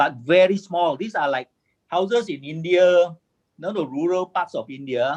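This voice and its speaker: A man with a Malaysian accent speaks at a moderate pace in a high voice. His pitch moves in an ordinary way while his loudness swings widely. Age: 60s. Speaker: construction engineer and formwork inventor. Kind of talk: webinar presentation. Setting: video call. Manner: halting, repetitive.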